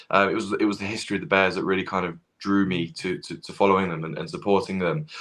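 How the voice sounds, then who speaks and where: Someone with a British accent talks at a very fast pace, with ordinary pitch variation. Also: man, fairly low pitch for a man. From England. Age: 20s. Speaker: football fan. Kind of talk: casual chat. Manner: halting.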